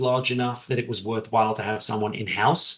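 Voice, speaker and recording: Somewhat breathy and fairly even in intonation, a man speaks with an English accent. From southern England. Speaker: general counsel. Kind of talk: podcast interview.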